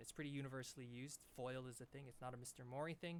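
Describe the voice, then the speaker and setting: A man's medium-pitched voice at a very fast pace, with fairly even intonation. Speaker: math teacher. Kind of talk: lecture.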